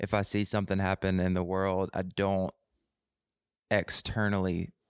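On a very clean recording with a silent background and a dry, close sound with no echo, a man with a very deep, low pitch talks at a fairly slow pace with fairly even intonation. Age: 20s. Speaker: podcast co-host. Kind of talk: casual chat.

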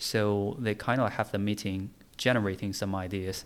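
Speaking at a moderate pace with fairly even intonation, a man with a Chinese accent has a fairly low pitch on a very clean recording with a silent background. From China; Tianjin. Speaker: air pollution researcher. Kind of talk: interview. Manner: halting, hesitant.

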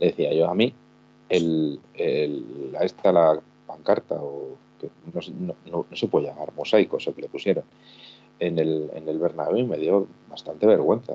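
A man's loudness swings widely as he talks at a fairly slow pace. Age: 40s. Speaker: football fan commentator. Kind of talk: casual chat. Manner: halting. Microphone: echo.

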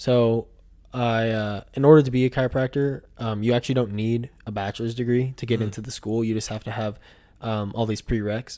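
A man with an American accent speaks at a fairly quick pace, his medium-pitched voice dark and mellow in tone, with flat, monotone intonation. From Washington state, US Pacific Northwest. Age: 20s. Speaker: podcast co-host. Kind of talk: casual chat. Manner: hesitant, many fillers.

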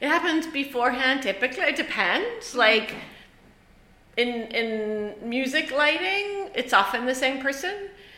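A woman with a high-pitched, raised and projected voice speaks at a moderate pace, her pitch swinging very widely. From Ireland. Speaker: theatre professor and lighting designer. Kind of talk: interview on a student podcast. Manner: casual, conversational with fillers.

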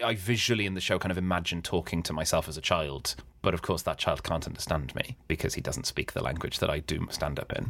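A man with a Welsh accent and a very deep, low pitch speaks at a very fast pace with hardly any pauses, showing vocal fry and ordinary pitch variation. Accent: soft Welsh accent in English. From Wales, Swansea. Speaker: comedian. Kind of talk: casual interview chat. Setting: in person.

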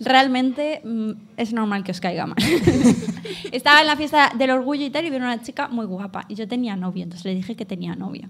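A woman with a plain, everyday voice, fairly high in pitch and fairly quick, with lively intonation and big swings in loudness. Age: 20s. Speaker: podcast host and teacher. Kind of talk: live show with audience. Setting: café with live audience.

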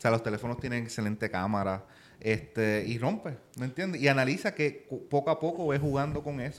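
A man speaks with a Puerto Rican accent at a medium pitch. His intonation is lively, and his pace is fairly quick. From Puerto Rico. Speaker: finance YouTuber. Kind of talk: interview. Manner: fast.

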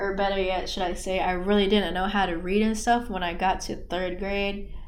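Medium pitch from a woman, with noticeable background noise and audible room echo. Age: 20s. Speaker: podcaster. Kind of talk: casual monologue. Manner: animated.

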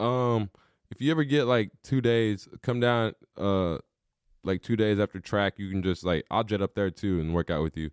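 In an American accent, a man with a normal speaking voice talks at a moderate pace, his fairly low pitch showing ordinary pitch variation. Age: 20s. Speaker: podcast host, former junior college football player. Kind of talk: casual chat. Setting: studio.

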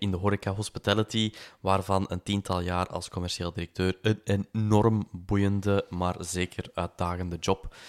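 A man with a fairly low voice speaks at a moderate pace in a monotone, flat way, captured dry and close with no echo in a very clean recording with a silent background. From Antwerp, Belgium. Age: 30s. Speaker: podcast co-host, hospitality sales director. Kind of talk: casual chat. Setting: home attic recording.

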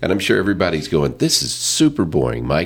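With an American accent and vocal fry, a man talks at a moderate pace on a very clean recording with a silent background. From US South (Northwest Arkansas). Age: 50s. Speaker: county councilman and business executive. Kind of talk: casual interview chat. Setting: studio.

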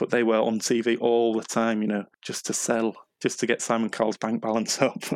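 Speaking with a northern English accent, a man delivers his words at a moderate pace in a monotone, flat intonation at medium pitch. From northern England. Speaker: music fan podcast guest. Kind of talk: casual chat.

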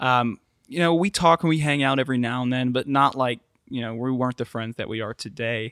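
A man with an ordinary speaking voice at a fairly quick pace, dry and close with no echo, on a very clean recording with a silent background. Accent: American. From US South, Tennessee. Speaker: musician. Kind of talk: casual chat.

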